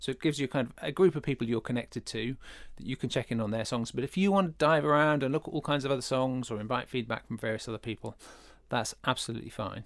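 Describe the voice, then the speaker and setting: A man talks at a very fast pace. His pitch sits in the medium range, with ordinary variation. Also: very clean recording, silent background. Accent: British. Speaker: podcast host. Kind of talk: casual chat.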